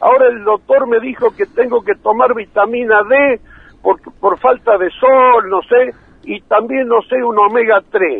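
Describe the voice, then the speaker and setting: A man speaks at an extremely high pitch. His pace is fairly slow, with ordinary pitch variation. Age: 80s+. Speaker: agricultural engineer. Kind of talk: phone call. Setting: phone call.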